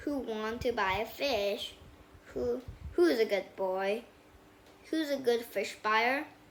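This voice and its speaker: A woman uses a put-on character voice, fairly high in pitch and at a fairly slow pace. Long, frequent pauses break up her speech against clear background noise. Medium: read story. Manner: bossy, exclamatory.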